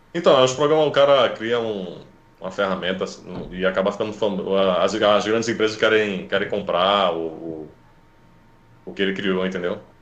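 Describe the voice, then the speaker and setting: A man with a fairly low voice speaks at a moderate pace, with ordinary pitch variation. He leaves long, frequent pauses, and the room echo is audible. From Recife, Brazil. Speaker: webcomic artist, former IT support worker. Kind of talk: casual interview chat.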